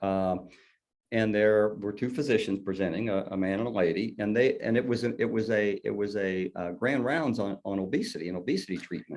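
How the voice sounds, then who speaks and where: With a Southern US accent, a man speaks at a fairly quick pace in a fairly low voice with ordinary pitch variation. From southern Indiana. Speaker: colorectal surgeon. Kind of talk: interview. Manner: halting.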